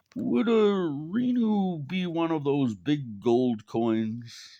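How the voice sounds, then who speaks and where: In a put-on character voice, a man speaks very slowly, croaky and fairly high, his pitch swinging very widely over a quiet background. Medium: read story. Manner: hesitant, croaky.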